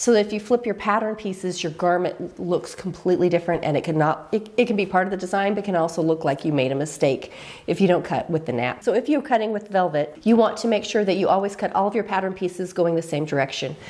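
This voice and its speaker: Over noticeable background noise, a woman talks at a very fast pace with hardly any pauses, using lively intonation at a medium pitch. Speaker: sewing teacher. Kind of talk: tutorial talk to camera.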